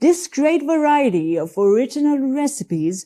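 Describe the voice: A woman's dark, mellow tone at a fairly slow pace, with big pitch swings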